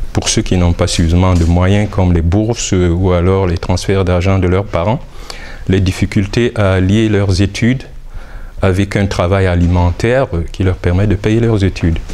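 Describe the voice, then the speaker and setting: Against noticeable background noise, a man with a very deep, low pitch speaks at a moderate pace with very even loudness and fairly even intonation. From Cameroon. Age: 60s. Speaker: author. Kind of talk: interview. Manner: hesitant, many filler sounds.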